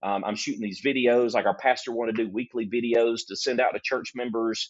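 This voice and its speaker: In a Southern US accent, a man speaks at a fairly quick pace, his medium pitch held in fairly even intonation. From US South, Alabama. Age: 50s. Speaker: graphic designer. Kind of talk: casual interview chat.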